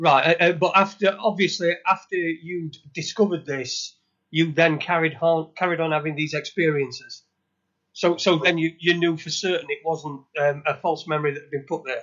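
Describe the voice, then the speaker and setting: A man with a Yorkshire accent, high in pitch, fairly even intonation, moderate pace and big swings in loudness. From northern England, Sheffield. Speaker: podcast co-host. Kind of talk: interview. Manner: halting, repetitive.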